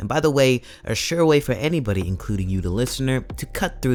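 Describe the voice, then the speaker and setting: Music is in the background. The voice goes at a fairly quick pace with very wide pitch swings. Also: man. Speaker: hip hop commentary host. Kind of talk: video essay narration.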